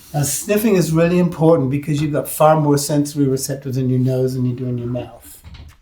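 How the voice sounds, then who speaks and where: With noticeable background noise behind him, a man speaks at a very fast pace with hardly any pauses, in a fairly high pitch with ordinary pitch variation. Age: 70s. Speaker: winery owner. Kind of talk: interview. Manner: halting.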